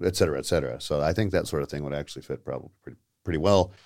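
This voice has a dark, mellow tone with vocal fry. It moves at a very fast pace with lively intonation. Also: man. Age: 30s. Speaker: theater performer and ordained officiant. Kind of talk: casual chat. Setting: studio.

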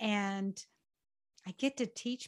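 A woman speaks in a normal speaking voice at a fairly high pitch with ordinary pitch variation. The sound is dry and close with no echo, on a very clean recording with a silent background. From US South, rural Georgia. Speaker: parent coach and podcast host. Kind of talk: interview conversation.

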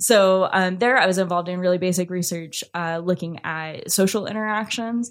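An ordinary speaking voice from a woman with an American accent, medium in pitch with fairly even intonation, at a moderate pace with hardly any pauses, on a very clean recording with a silent background. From US, small rural farming town. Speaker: behavioral neuroscientist. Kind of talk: casual interview. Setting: in-person studio recording.

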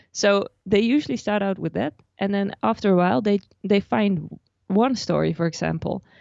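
A woman with a Dutch accent talks at a moderate pace. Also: medium pitch for a woman, ordinary pitch variation. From Netherlands. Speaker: personal finance blogger. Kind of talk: interview.

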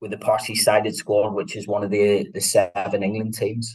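A man speaks with a Northern Irish accent. His pace is moderate. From Northern Ireland, Belfast. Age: 40s. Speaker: football coach, former para footballer. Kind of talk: interview conversation.

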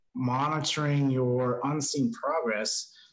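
With an American accent, a man speaks at a fairly high pitch. His voice is somewhat breathy, with ordinary pitch variation. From New Mexico, US Southwest. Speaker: life coach and motivational content creator. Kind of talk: casual interview conversation.

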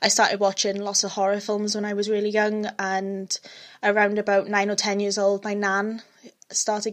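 A woman with a Welsh accent speaks in a fairly high pitch, recorded very cleanly against a silent background. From Wales. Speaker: true crime podcaster. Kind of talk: scripted-ish narration of a true crime case, casual intro. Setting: home recording, alone at microphone. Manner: hesitant, uses many ums, self-deprecating.

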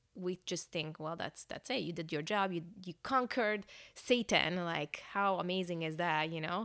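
With a slight Hungarian accent, a woman speaks at a fairly low pitch on a very clean recording with a silent background. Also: ordinary pitch variation, moderate pace. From Hungary, moved to Northern California at ten. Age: 30s. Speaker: church staff pastor. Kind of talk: personal testimony.

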